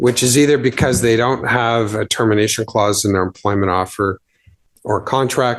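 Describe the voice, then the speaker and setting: A man with a normal speaking voice, medium in pitch, at a moderate pace and very even loudness. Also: fairly even intonation. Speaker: employment lawyer presenter. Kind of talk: conference presentation.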